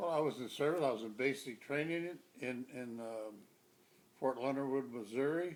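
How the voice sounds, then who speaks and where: A man with an American accent talks at a moderate pace, with noticeable background noise behind him. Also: medium pitch for a man, ordinary pitch variation. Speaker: army veteran. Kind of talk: interview answer.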